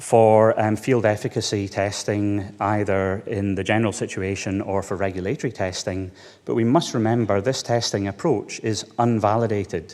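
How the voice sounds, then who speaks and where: With a Scottish accent, a man talks at a moderate pace in a fairly low pitch, with fairly even intonation and hardly any pauses. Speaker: veterinarian. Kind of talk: conference talk. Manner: hesitant, many fillers.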